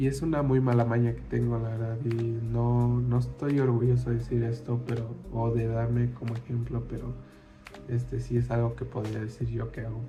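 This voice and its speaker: With music in the background and audible room echo, a man speaks at a moderate pace. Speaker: student. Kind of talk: class presentation. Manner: hesitant, many fillers.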